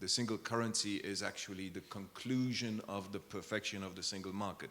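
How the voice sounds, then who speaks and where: A man speaks at a fairly quick pace, with a fairly low pitch and ordinary pitch variation. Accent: Luxembourgish. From Luxembourg. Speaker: diplomat. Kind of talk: panel discussion. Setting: conference with audience.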